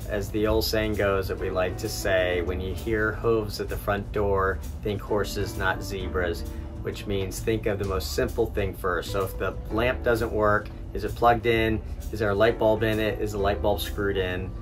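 Moderate pace from a man, clear music in the background. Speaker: boat owner vlogger. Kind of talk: casual vlog chat. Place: boat. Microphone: phone near.

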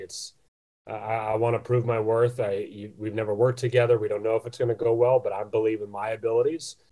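A man with an American accent speaks very fast in a medium-pitched, somewhat breathy voice, his tone dark and mellow and his intonation flat and monotone. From United States. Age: 20s. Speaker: boxing ring announcer. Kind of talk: interview answer.

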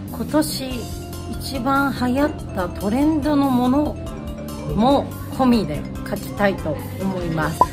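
A woman talks at a fairly slow pace with clear music playing behind her. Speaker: radio personality. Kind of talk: casual talk to camera. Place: office. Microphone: phone near.

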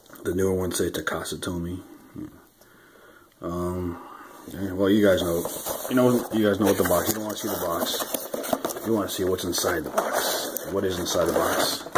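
There is loud background noise. Through it, a man speaks at a moderate pace. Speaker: toy reviewer. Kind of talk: casual unboxing review chat. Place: home room. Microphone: phone near.

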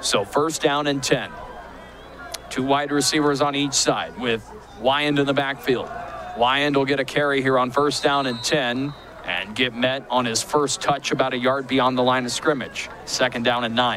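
A man talks at a moderate pace in a monotone, flat way. The sound is dry with no echo, with light background noise. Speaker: play-by-play commentator. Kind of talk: live football play-by-play commentary. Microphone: headset.

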